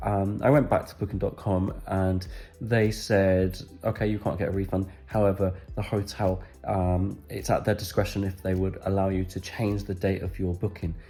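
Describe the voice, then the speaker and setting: Music plays behind a man whose fairly low voice moves at a moderate pace. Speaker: travel vlogger. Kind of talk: casual talk to camera.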